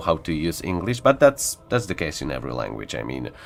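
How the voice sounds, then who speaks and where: A man talks with a very deep, low pitch. The background is silent and the recording very clean. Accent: Polish. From Poland. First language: Polish. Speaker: gaming streamer. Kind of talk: casual live stream chat. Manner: halting, many fillers.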